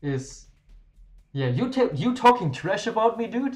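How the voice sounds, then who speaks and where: With music in the background, a man speaks in a strong German accent, his pitch swinging very widely. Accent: thick German. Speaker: game streamer. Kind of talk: live stream chat. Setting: live stream. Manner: casual, halting at times.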